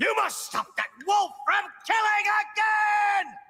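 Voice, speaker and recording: A man shouts in a cartoonish character voice at an extremely high pitch. His pace is fairly slow. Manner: smug, rhyming.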